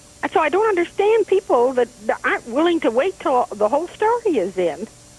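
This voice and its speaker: This woman's high voice swings very widely in pitch while her loudness stays very even, recorded dry and close with no echo over noticeable background noise. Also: fairly quick pace. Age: 70s. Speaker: caller. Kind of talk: call-in comment.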